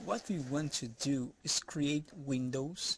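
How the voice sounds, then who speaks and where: A man speaks at a very slow pace with a non-native accent. His pitch sits fairly high. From outside the US, non-English-speaking country. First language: not English. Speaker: software developer. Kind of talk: tutorial. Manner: halting, repeats words.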